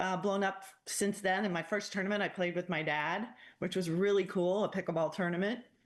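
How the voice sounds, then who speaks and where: A woman's normal speaking voice with an American accent at a moderate pace. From England, raised in the US. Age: 60s. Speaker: professional pickleball player. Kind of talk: casual chat.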